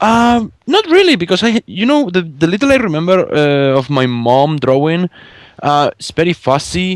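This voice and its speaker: This man has a Spanish accent and a high pitch. He talks at a moderate pace with very wide pitch swings. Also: dry, close sound with no echo. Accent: Spanish accent, rolled R's. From Spain. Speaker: fan artist and podcast guest. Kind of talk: casual chat interview. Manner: halting, many fillers and repeats.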